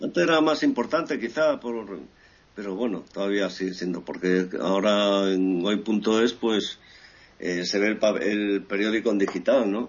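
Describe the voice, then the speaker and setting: A man's normal speaking voice, fairly low in pitch, with ordinary pitch variation and a fairly slow pace. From Equatorial Guinea, born in Ferrol, Spain. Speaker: journalist. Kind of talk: interview.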